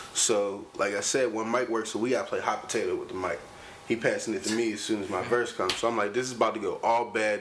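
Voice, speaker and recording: Speaking very fast with an American accent, a man keeps his intonation fairly even. Noticeable background noise runs underneath. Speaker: rapper. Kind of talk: casual chat. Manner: aggressive tone.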